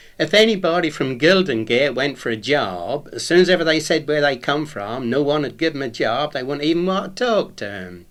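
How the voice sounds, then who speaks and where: A man with a Norwich accent speaks at a fairly high pitch with vocal fry. His pitch swings very widely and he hardly pauses. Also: fairly quick pace. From England, Norwich. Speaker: retired painter, local dialect speaker. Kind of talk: recorded talk. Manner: informal, conversational.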